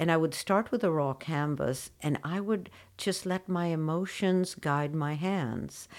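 This woman has a normal speaking voice with a fairly low pitch. She talks at a fairly slow pace with ordinary pitch variation. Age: 60s. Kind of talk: casual interview conversation.

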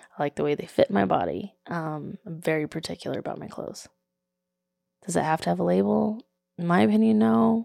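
A woman with a Texan accent speaks at a fairly quick pace in a very deep, low pitch and a dark, mellow tone. Her delivery has very wide pitch swings and big swings in loudness, in a dry, close sound with no echo. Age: 30s. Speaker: podcast host. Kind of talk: casual chat. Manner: animated. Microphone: new microphone.

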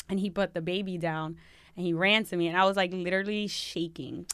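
In a very clean recording with a silent background, a woman talks at a fairly quick pace. Her pitch is fairly low and her intonation monotone and flat. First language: Spanish. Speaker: military service member. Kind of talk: casual chat.

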